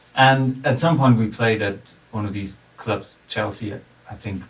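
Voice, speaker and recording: Noticeable background noise surrounds a man who speaks at a fairly low pitch and a moderate pace with ordinary pitch variation. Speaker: music producer and musician. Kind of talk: casual interview chat.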